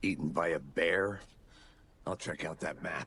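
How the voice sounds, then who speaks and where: A raspy put-on character voice from a man, at a moderate pace. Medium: video game. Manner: dry, terse.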